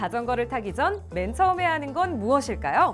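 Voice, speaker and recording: Over music in the background, a woman speaks at a moderate pace in an upbeat tone. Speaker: voice actor. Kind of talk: safety education narration. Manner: friendly, upbeat.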